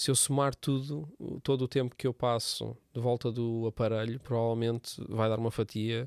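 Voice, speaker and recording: Delivered at a fairly slow pace in a monotone, flat intonation, the voice sounds dry and close with no echo in a very clean recording with a silent background. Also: man. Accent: European Portuguese. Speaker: church podcast host. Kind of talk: casual chat.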